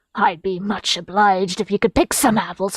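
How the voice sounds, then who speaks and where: The speaker puts on a raspy character voice. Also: woman. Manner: friendly, creaky, folksy.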